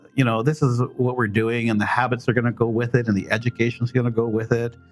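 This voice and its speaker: Over music in the background, a man talks at a very fast pace in a medium pitch, his intonation monotone and flat and his loudness very even. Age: 60s. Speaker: carnivore diet weight loss interviewee. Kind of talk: interview. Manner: hesitant, many fillers.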